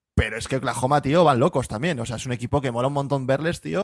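A man at a medium pitch and a very fast pace, with a dry, close sound free of echo and a very clean recording over a silent background. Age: 30s. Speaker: podcast co-host. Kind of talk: casual chat.

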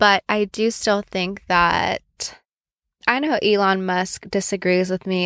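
A woman with a normal speaking voice, medium in pitch and fairly even in intonation, is heard in a very clean recording with a silent background and a dry, close sound with no echo. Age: 20s. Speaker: solo podcast host. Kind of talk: casual monologue.

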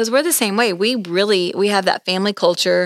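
A normal speaking voice from a woman, medium in pitch, with fairly even intonation, a dry, close sound with no echo, and a very clean recording with a silent background. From Oklahoma. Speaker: podcast host. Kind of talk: casual interview.

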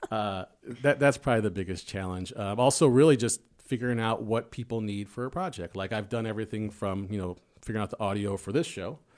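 Recorded very cleanly against a silent background, a man speaks at a very fast pace with ordinary pitch variation. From Chicago, South Side. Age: 40s. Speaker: musician and college esports staff. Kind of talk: casual interview chat. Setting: studio.

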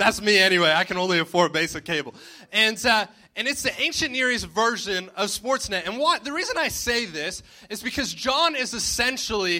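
In a Canadian accent, a raised, projected voice moves at a fairly quick pace with lively intonation against noticeable background noise. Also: man. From Ontario, Canada (Cobourg). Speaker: pastor. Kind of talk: sermon. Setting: church with congregation.

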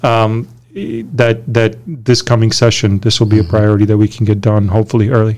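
At a moderate pace, a man with an American accent uses an ordinary speaking voice, fairly low in pitch, with fairly even intonation and very even loudness. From Romania. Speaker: state politician. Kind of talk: interview.

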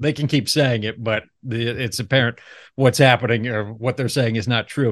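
Fairly quick and fairly even in intonation, a plain, everyday voice speaks with an American accent against a quiet background. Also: man. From Ohio, US Midwest. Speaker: chamber of commerce podcast host. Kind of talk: podcast interview.

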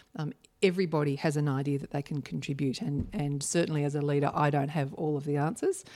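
A woman with an Australian accent speaks at a very fast pace in a very deep, low pitch, with a dark, mellow tone and ordinary pitch variation. The recording is very clean, with a silent background. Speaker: charity foundation chief executive. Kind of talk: podcast interview.

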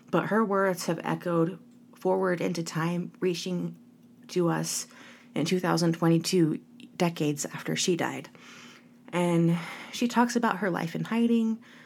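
The speaker talks at a fairly slow pace with long, frequent pauses and ordinary pitch variation. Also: woman, fairly low pitch for a woman. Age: 30s. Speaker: podcast host. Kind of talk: solo podcast monologue. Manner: warm, upbeat.

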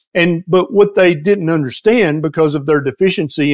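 In a very clean recording with a silent background, a man with a Southern US accent speaks at a fairly high pitch with lively intonation. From US South, Tennessee. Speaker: physician and health author. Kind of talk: casual interview conversation.

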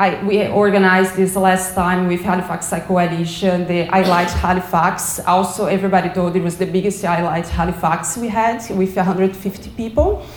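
A woman with a Portuguese accent speaks at a moderate pace and medium pitch. Her intonation is monotone and flat, with noticeable background noise. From Brazil. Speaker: community cycling advocate. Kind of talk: presentation. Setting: stage with audience.

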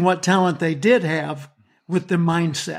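Recorded very cleanly over a silent background, a man talks with a Southern US accent. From US South. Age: 70s. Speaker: motivational speaker and author. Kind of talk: interview.

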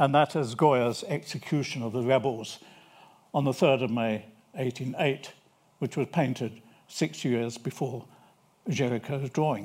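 With a British accent, the speaker moves at a moderate pace with ordinary pitch variation and long, frequent pauses. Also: man, very clean recording, silent background. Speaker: historian. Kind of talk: lecture. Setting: stage with audience. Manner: formal.

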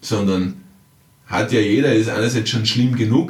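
A man talks at a fairly slow pace, his voice somewhat breathy, with audible room echo around it. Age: 40s. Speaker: time management coach and author. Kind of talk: podcast monologue. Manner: conversational with frequent fillers.

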